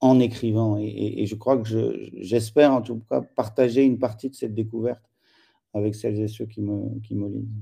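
This man speaks at a moderate pace with a dark, mellow tone, a fairly low pitch and fairly even intonation. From France. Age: 40s. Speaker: writer and essayist. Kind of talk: interview. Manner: halting.

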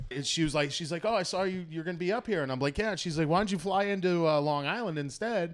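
In a Boston accent, a man talks at a very fast pace with hardly any pauses. His pitch is high, with ordinary pitch variation. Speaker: comedian and former pro wrestler. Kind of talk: casual chat.

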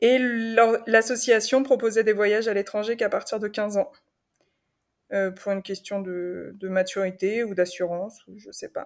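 In a very clean recording with a silent background, a woman with a fairly high pitch keeps her intonation fairly even while her loudness swings widely. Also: fairly slow pace. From Paris region, France. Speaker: semi-nomadic traveller. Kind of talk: interview testimony. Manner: halting, many repetitions and fillers.

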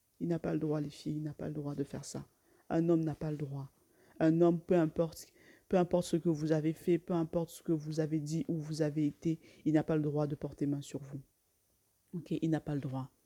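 A woman speaks at a moderate pace with a very deep, low pitch and monotone, flat intonation. Her loudness swings widely, and the sound is dry and close with no echo. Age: 20s. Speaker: YouTuber. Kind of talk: casual vlog monologue. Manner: halting, many repetitions and fillers.

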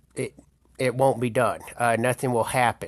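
With a Southern US accent, a man speaks in a monotone, flat intonation. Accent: Southern US (Georgia). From Georgia, US South (Marietta). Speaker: political candidate. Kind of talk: campaign appeal. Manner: halting, many fillers.

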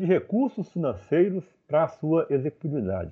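The man's voice sits at a high pitch. He talks at a moderate pace. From Brazil, Minas Gerais (Divinópolis). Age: 50s. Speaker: chemical engineering professor. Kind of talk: interview.

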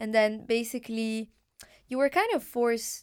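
In a very clean recording with a silent background, a woman speaks at a fairly high pitch with an Arabic accent. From Morocco. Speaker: podcast host. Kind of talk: interview.

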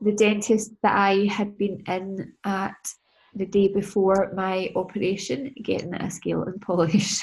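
In a Scottish accent, a woman speaks at a fairly slow pace with a somewhat breathy, medium-pitched voice and fairly even intonation. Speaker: business and mindset coach. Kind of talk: casual chat. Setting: video call. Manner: casual, sweary.

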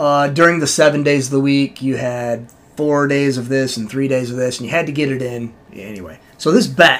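Speaking at a moderate pace, a man has an unremarkable speaking voice of medium pitch with ordinary pitch variation. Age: 50s. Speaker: podcast co-host. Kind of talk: casual chat.

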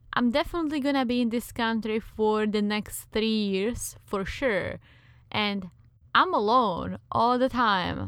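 A woman with a Czech accent, fairly high in pitch with ordinary pitch variation, at a fairly slow pace. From Czech Republic. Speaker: podcast co-host. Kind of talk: casual chat.

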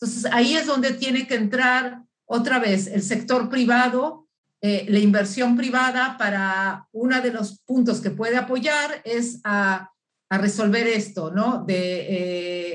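A woman speaks at a very slow pace in a fairly high pitch. Her voice is somewhat breathy, with ordinary pitch variation. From Uruguay. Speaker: business founder and consultant. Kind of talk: interview. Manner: halting, many fillers.

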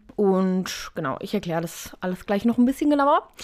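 A woman with an ordinary speaking voice talks at a medium pitch and moderate pace in a very clean recording with a silent background. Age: 20s. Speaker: podcaster with type 1 diabetes. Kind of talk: casual solo talk. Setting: home recording with cushion and blanket.

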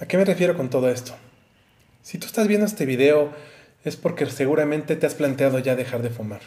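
Speaking with a Mexican accent, a man uses a fairly high pitch, ordinary pitch variation and a dark, mellow tone, somewhat breathy, at a fairly quick pace broken by long, frequent pauses. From Mexico. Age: 30s. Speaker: YouTuber. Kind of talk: advice monologue to camera.

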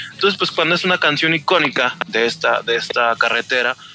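A man with an unremarkable speaking voice talks at a fairly quick pace and a medium pitch. The sound is dry and close, with no echo. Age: 40s. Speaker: novice motorcyclist. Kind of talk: casual chat.

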